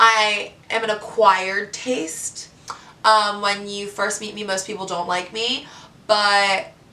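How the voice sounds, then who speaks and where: A woman's bright, sharp voice at a medium pitch, fairly slow pace, and audible room echo. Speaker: reality TV contestant. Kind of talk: vlog monologue. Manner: loud; animated.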